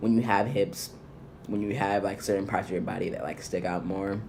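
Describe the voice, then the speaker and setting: Audible room echo around a fairly low-pitched male voice. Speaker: vlogger. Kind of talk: casual vlog update. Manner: casual with many fillers. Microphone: laptop audio problems, rerecorded.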